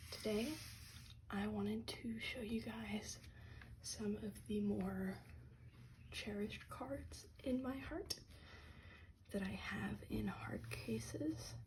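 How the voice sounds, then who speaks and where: A calm, soft-spoken delivery at a very slow pace, with long, frequent pauses. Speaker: ASMR content creator and card collector. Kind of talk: ASMR show and tell, soft-spoken talk to camera about trading cards. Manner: soft-spoken, calm.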